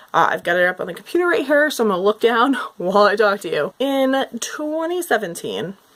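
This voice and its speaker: A woman's fairly high voice with very wide pitch swings over noticeable background noise. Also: fairly quick pace. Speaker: booktuber. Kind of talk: casual chat. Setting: at computer, video recording.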